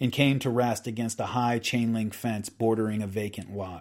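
Recorded very cleanly against a silent background, a man has a plain, everyday voice at a medium pitch and a moderate pace. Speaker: podcast host reading a book aloud. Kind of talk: dramatic narration of a true-crime history, reading aloud from a book.

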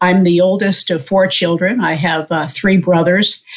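A woman with an American accent uses a normal speaking voice at a medium pitch. Her pace is fairly slow. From US Northeast (Long Island, New York). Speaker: surgeon. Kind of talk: casual interview.

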